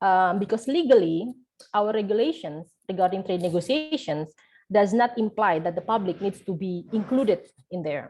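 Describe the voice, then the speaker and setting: A woman's medium-pitched voice has a dark, mellow tone and lively intonation. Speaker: researcher. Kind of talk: seminar presentation. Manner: fast.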